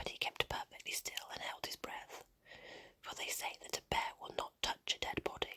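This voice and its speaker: A woman whispers. Noticeable background noise runs behind her. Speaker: ASMR storyteller. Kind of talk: ASMR bedtime story reading. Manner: whispered, soft.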